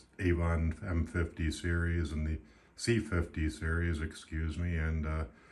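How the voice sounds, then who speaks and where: Speaking fairly slowly, a man uses a very deep, low, somewhat breathy voice with fairly even intonation. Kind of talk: casual product review to camera.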